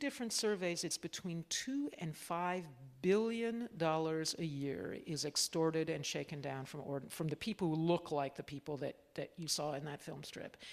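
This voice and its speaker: A woman with an American accent speaks at a moderate pace with a fairly low pitch and very wide pitch swings. The recording is very clean, with a silent background. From US Northeast (Cambridge, Massachusetts). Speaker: author and former journalist. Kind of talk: live interview and audience Q&A. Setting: stage with audience.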